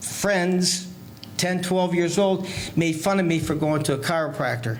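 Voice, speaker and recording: Against noticeable background noise and audible room echo, a high-pitched man with an American accent speaks at a moderate pace with fairly even intonation. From Michigan (Flint). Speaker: chiropractor. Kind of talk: casual interview. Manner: halting, repeats words.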